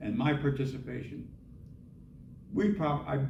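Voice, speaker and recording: There's audible room echo as a man with an American accent talks at a moderate pace. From US Midwest, Indianapolis, Indiana. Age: 70s. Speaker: author and Vietnam veteran. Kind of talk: author talk Q&A.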